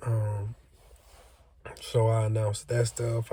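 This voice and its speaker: Somewhat breathy, a man speaks at a very slow pace and medium pitch in a flat monotone with a dark, mellow tone. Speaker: trucking student vlogger. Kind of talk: casual vlog. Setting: on lunch break at training range.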